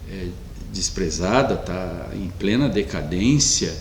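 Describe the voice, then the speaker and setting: Very wide pitch swings mark a man's speech at a very slow pace. Audible room echo and noticeable background noise surround him. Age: 60s. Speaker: pastor. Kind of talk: sermon. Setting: online church meeting, streamed.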